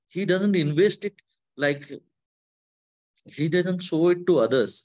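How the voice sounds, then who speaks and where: A man with an Odisha accent and a high-pitched voice. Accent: Indian (Odia) English. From Odisha, India. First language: Odia. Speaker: devotional speaker. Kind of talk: spiritual talk. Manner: halting.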